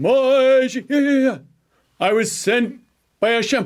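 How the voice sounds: A fairly slow put-on character voice from a man, pitched extremely high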